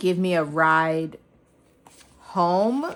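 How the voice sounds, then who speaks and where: Mumbling, a woman speaks at a fairly low pitch with fairly even intonation. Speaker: personal finance vlogger. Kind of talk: casual budgeting vlog. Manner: casual, filler-heavy.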